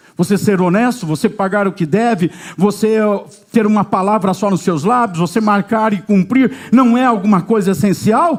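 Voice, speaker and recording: A man with a high pitch, lively intonation and a moderate pace. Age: 60s. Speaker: pastor. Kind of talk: sermon.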